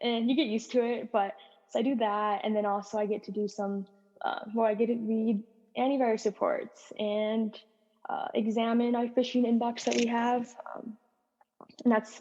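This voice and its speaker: A woman speaks at a fairly high pitch in a dark, mellow tone, keeping her intonation fairly even. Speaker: cybersecurity analyst. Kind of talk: casual chat. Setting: podcast interview. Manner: fast.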